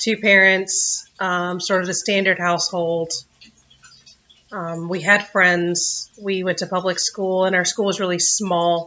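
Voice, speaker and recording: A woman with a Southern US accent talks at a fairly slow pace in a monotone, flat intonation. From US South. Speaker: vlogger. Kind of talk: personal vlog. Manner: words run together.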